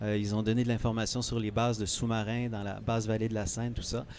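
A man with a normal speaking voice, at a medium pitch and a moderate pace. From Quebec, Eastern Townships. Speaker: author. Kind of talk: interview. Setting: book fair, live on site.

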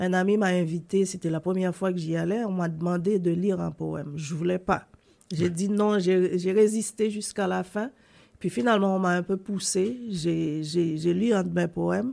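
Her voice is medium-pitched with a dark, mellow tone, and this woman keeps her intonation fairly even. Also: moderate pace. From Haiti. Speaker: poet and columnist. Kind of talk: interview.

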